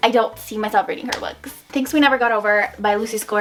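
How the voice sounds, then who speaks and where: A woman talks at a fairly high pitch with ordinary pitch variation. Noticeable background noise runs behind her. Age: 20s. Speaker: booktuber. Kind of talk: casual vlog chat.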